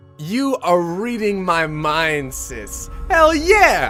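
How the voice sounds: Over faint music in the background, a man performs a put-on character voice with a bright, sharp tone and a high pitch. His pitch swings very wide at a very slow pace.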